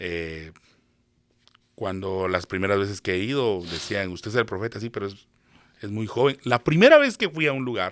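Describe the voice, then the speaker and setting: A man talks at a moderate pace with fairly low pitch and ordinary pitch variation, leaving long, frequent pauses. The recording is very clean, with a silent background. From Guatemala. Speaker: prophet. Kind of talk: interview.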